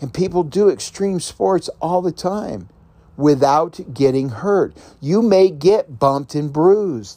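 Speaking at a very slow pace, a man has a high, dark, mellow voice with lively intonation. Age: 50s. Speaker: podcast host and self-help author. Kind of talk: solo motivational podcast monologue. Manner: casual with frequent filler words.

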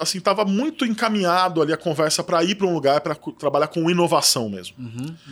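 Very fast, lively speech from a man with a high pitch. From Brazil, São Paulo interior. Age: 40s. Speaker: magazine editor-in-chief. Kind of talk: casual interview chat.

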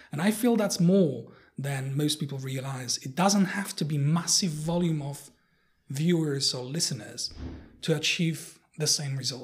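Somewhat breathy, a man with a Polish accent talks at a fairly slow pace and fairly high pitch with ordinary pitch variation. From Poland. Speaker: researcher and technologist. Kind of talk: interview conversation. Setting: in person in Warsaw. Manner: hesitant, many fillers.

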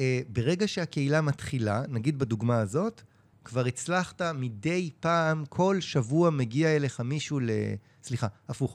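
An unremarkable speaking voice, a man at a fairly high pitch with lively intonation and a moderate pace against a quiet background. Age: 40s. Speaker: online community founder. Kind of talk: casual chat.

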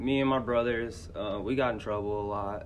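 Audible room echo surrounds a man speaking with an American accent. His medium-pitched voice shows ordinary pitch variation. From Indianapolis, Indiana. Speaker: middle school teacher. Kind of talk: interview, personal life story. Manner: casual, hesitant with many fillers.

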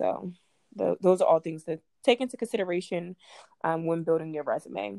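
With an American accent and a fairly low pitch, a woman talks at a fairly quick pace with lively intonation and a dark, mellow tone, in dry, close sound with no echo. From Baltimore, Maryland. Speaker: nurse and podcast host. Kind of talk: casual chat.

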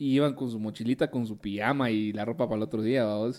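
A man speaks in a Guatemalan accent with a dark, mellow tone. The recording is very clean, with a silent background. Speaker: podcast co-host. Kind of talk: casual chat.

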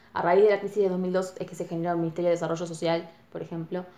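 A woman with a Rioplatense accent amid noticeable background noise. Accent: Rioplatense, close to Buenos Aires. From Uruguay, Colonia. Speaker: university student. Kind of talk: casual interview chat.

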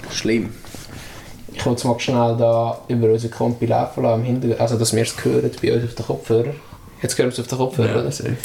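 Speaking at a very fast pace, a man with a Swiss accent has a medium pitch and fairly even intonation over noticeable background noise. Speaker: podcast host, rap album reviewer. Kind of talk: casual chat.

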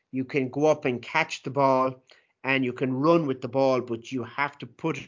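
Monotone, flat intonation from a man with a Munster Irish accent, fairly high in pitch, at a moderate pace. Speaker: sports commentator and radio editor. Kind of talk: interview over video call for a class.

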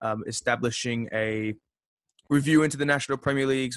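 A man with an Australian accent speaks at a moderate pace with fairly even intonation. The sound is dry and close, with no echo. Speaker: podcast host. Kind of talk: interview.

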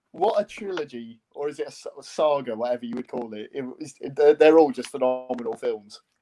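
With music in the background, a man with a Welsh accent talks at a moderate pace in a fairly high voice, with ordinary pitch variation and big swings in loudness. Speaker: university sports club committee member.

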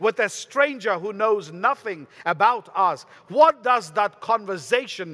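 Intonation here is lively. It belongs to a natural reading voice.

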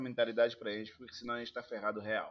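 A man's bright, sharp tone at a medium pitch. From Angola. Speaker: actor and film producer. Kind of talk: interview. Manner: halting, many repeated words.

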